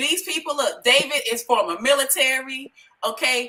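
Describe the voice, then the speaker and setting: Bright and sharp in tone, the voice is raised and projected. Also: woman. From Chicago, inner city. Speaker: live stream host, home business promoter. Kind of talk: casual group livestream chat. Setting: Facebook live video call. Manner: animated.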